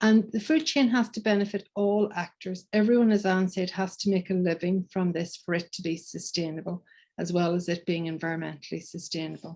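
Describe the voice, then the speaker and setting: A woman with a Donegal accent speaks at a fairly quick pace, her medium-pitched voice somewhat breathy and her pitch varying in an ordinary way. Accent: Donegal Irish. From Ireland, County Donegal. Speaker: professor. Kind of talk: conference presentation.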